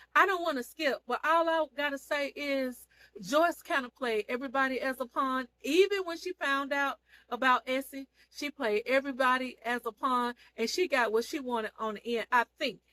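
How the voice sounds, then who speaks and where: With a raised, projected voice, a woman speaks at a moderate pace in a high pitch, her tone animated, bright and sharp, with ordinary pitch variation and a dry, close sound with no echo. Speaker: online seller and TV show reviewer. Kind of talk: casual vlog recap of a TV series.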